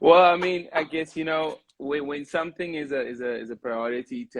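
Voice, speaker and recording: With a Cape Town accent, a man talks at a fairly quick pace with ordinary pitch variation in a dry, close sound with no echo. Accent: South African (Cape Town). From Cape Town, South Africa. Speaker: singer and radio host. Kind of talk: casual interview.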